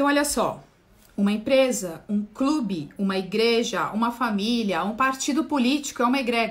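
A woman talks at a moderate pace with lively intonation and a fairly high pitch. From Brazil. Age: 40s. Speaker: spiritual therapist. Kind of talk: livestream talk on esoteric topic. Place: home room. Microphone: phone near.

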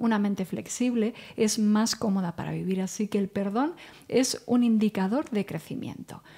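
A somewhat breathy woman's voice with a dark, mellow tone over a quiet background. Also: fairly high pitch for a woman, ordinary pitch variation, moderate pace. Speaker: psychologist. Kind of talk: casual chat. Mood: calm, friendly, explanatory. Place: studio. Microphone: studio mic.

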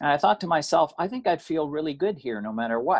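The backdrop is quiet. Intonation rises and falls lively as the man talks. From Canada. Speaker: recent emigrant. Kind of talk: interview. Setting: video call. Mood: calm storytelling. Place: home room. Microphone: video call.

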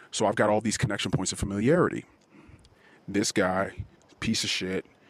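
Intense in tone, a man speaks at a fairly quick pace. His pitch sits fairly low. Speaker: anonymous podcaster. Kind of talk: angry rant about a road-rage confrontation, told as a heated personal story. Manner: self-described as intense.

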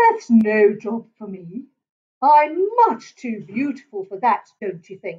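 A quiet background behind plain reading aloud.

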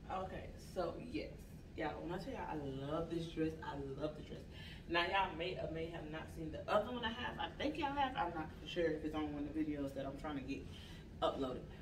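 Over noticeable background noise, a woman with a fairly low pitch speaks at a fairly quick pace with lively intonation. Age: 30s. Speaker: YouTube vlogger. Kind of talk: try-on haul video. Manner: animated. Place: home room. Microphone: camera far.

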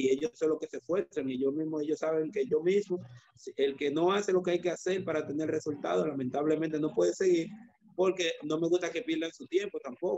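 A man with a Dominican accent talks at a fairly quick pace, his pitch fairly high with ordinary pitch variation. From Dominican Republic, San Cristóbal; Dominican Republic. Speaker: judo coach. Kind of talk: interview. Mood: reflective, earnest. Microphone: video call.

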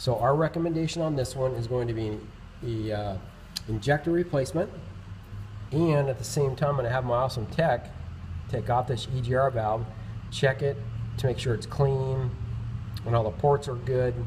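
A somewhat breathy man speaks with long, frequent pauses against light background noise. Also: ordinary pitch variation, moderate pace. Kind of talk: tutorial. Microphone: phone near.

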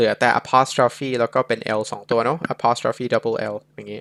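An ordinary speaking voice from a man, with a dry, close sound and no echo. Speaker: English tutor. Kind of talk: tutorial.

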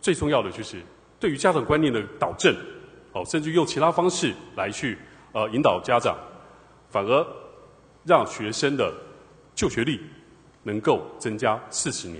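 A man with a Taiwanese accent and vocal fry speaks at a fairly high pitch that swings very widely, pausing long and often. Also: moderate pace. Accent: Taiwanese Mandarin. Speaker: city councillor. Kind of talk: council interpellation.

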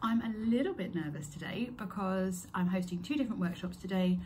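With light background noise, a woman speaks at a fairly quick pace and with ordinary pitch variation. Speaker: crochet workshop host. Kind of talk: casual vlog chat. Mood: excited, a little nervous. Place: home room. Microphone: phone near.

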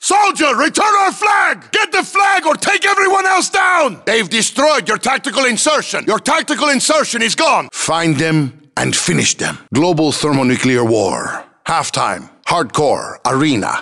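Over noticeable background noise, a man speaks at a fairly slow pace with hardly any pauses and very even loudness. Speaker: video game announcer voice. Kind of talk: video game announcer callouts. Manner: clipped, military.

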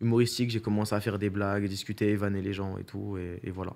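Very fast, monotone, flat speech from a man with a fairly low pitch. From Paris region, France; France. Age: 20s. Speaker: streamer and content creator; streamer, content creator. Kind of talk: casual interview. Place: studio. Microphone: studio mic.

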